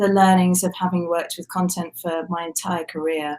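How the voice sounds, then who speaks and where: Fairly quick speech with a British accent. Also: woman. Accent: British, similar to host's. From UK. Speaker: communications agency executive. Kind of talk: interview.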